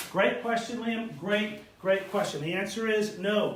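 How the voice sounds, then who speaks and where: Audible room echo surrounds a man who talks with a high pitch. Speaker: golf instructor. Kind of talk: live video Q&A tutorial. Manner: casual, with fillers.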